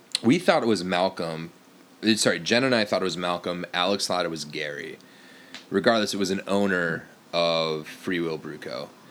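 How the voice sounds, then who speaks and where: Very deep, low male voice with ordinary pitch variation. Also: moderate pace. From US Upper Midwest (Fargo, North Dakota). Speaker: cider maker. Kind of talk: casual chat.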